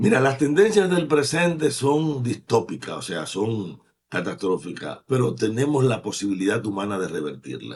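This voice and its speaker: Speaking at a moderate pace with hardly any pauses, a man uses a medium pitch full of very wide swings, with vocal fry. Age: 70s. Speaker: environmentalist and poet. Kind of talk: interview.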